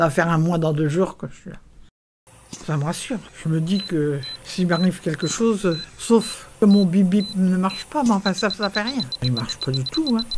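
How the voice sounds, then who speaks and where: Over noticeable background noise, a woman speaks at a fairly slow pace in a fairly low voice. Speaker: retirement home resident. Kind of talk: interview testimony.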